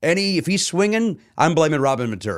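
A man with an American accent talks fairly quickly at a fairly high pitch, with vocal fry. His pitch swings very widely on a very clean recording with a silent background. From Chicago. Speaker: comedian. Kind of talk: casual chat. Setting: studio. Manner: animated.

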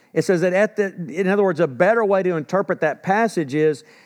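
In a Texan accent, a man speaks at a high pitch with ordinary pitch variation. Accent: Texan Southern US. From Texas. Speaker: pastor. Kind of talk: sermon. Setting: church. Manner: halting, many fillers and restarts.

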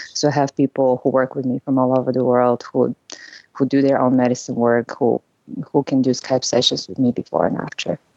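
A woman speaks at a fairly quick pace in a very deep, low pitch. Her intonation is flat and monotone, and the sound is dry and close with no echo. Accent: Bulgarian. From Bulgaria. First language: Bulgarian. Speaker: psychotherapist. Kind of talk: podcast interview.

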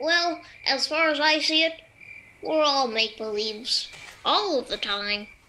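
A female-sounding voice puts on a character voice. The pace is fairly slow. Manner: polite, earnest.

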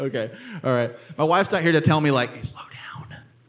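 A man speaks with ordinary pitch variation, and the room echo is audible. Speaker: preacher. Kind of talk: sermon. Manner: fast.

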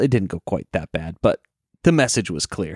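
A man speaks with a dry, close sound and no echo. The recording is very clean, with a silent background. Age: 30s. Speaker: former radio broadcaster. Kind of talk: casual chat.

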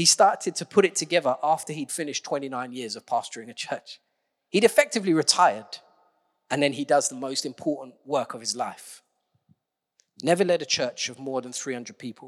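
With an ordinary speaking voice, a man talks at a fairly quick pace with a fairly high pitch, lively intonation and big swings in loudness, in a very clean recording with a silent background and a dry, close sound with no echo. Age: 40s. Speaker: preacher. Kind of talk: sermon.

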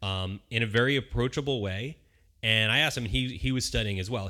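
On a very clean recording with a silent background, a man with an American accent speaks in a bright, sharp tone with ordinary pitch variation. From Philadelphia area, Pennsylvania. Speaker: aspiring beer sommelier, educator. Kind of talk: casual interview chat. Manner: halting, many fillers.

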